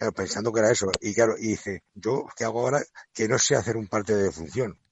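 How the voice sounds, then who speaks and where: The speaker is a man whose pitch is medium. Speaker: retiring banderillero. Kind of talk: interview. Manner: halting.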